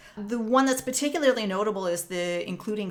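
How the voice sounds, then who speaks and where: A woman with a Canadian accent and an ordinary speaking voice, at a medium pitch, with lively intonation and a fairly quick pace. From Canada, Northern Ontario. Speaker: music professor. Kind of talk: lecture. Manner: explanatory, measured.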